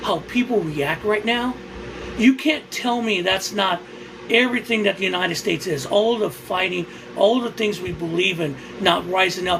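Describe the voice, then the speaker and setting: Over noticeable background noise, a man with an American accent speaks at a moderate pace with ordinary pitch variation. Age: 60s. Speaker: livestreamer. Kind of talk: casual livestream chat. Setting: livestream. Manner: halting.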